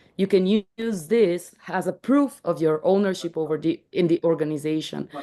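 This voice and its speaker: With a non-native accent, a woman speaks in a lively intonation. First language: not English. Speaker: startup founder presenting their tool. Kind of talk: explanatory presentation in video call. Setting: video call. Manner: halting, many restarts and fillers.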